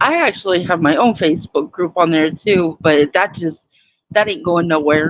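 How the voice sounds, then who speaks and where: A woman talks at a moderate pace in a fairly low voice. Her pitch varies in an ordinary way. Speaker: tarot reader streamer. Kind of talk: live stream casual chat. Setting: live stream, voice only, no camera.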